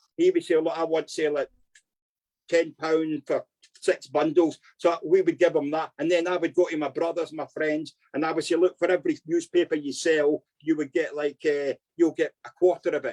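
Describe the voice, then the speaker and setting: This man has a high voice and a Glaswegian accent, talking at a moderate pace. His intonation stays flat and monotone, and the sound is dry and close with no echo. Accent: Glaswegian Scottish. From Scotland, Glasgow. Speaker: former criminal. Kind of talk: life story interview.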